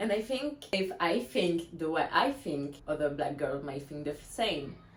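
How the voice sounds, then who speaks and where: A woman with a fairly low voice talks at a fairly slow pace. Audible room echo surrounds her. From France. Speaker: blogger. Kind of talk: reading aloud.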